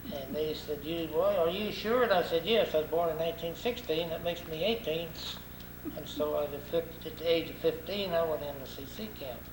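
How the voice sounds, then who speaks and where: A man speaks fairly quickly in a high register with an American accent and ordinary pitch variation. Noticeable background noise and audible room echo surround him. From US South, Arkansas (Crawford County). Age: 80s+. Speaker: war veteran. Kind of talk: oral history interview. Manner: halting, repeats words.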